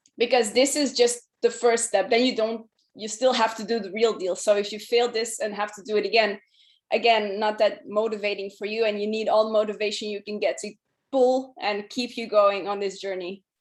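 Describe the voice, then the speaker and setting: A woman with a fairly high voice and a non-native accent speaks over a quiet background. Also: moderate pace. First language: not English. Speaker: solution architect. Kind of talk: presentation.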